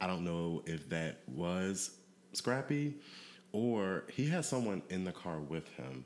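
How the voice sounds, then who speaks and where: The voice, in an American accent, moves at a very slow pace with very wide pitch swings. The recording is very clean, with a silent background. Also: man, very deep, low pitch for a man. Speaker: podcast host. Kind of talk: casual chat.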